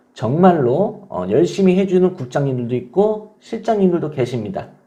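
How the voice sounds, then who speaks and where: The speaker goes at a moderate pace. The pitch swings very widely. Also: man, high pitch for a man. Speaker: online divorce-help community manager. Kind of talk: casual vlog talk to viewers.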